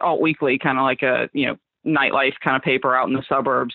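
A woman is speaking. She has a slight Southern US accent. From Southwest Florida, Fort Myers. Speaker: illustrator and designer. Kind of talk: casual interview chat.

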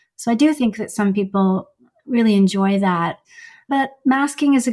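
Speaking at a fairly slow pace, a woman with a Canadian accent has a fairly high, somewhat breathy voice. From Iran, then Canada from age seven. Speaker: psychologist. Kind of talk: interview.

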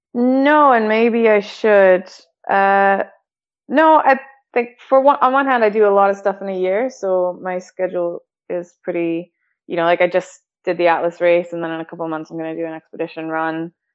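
A woman speaks with a Canadian accent in a plain, everyday voice. Her pitch is medium and her pace moderate. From Calgary, Canada. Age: 30s. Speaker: adventure athlete. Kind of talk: casual chat. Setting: internet call.

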